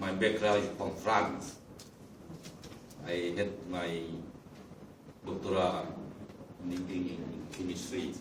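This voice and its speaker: A man at a moderate pace with a Lao accent, in audible room echo. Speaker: delegate. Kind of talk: panel discussion.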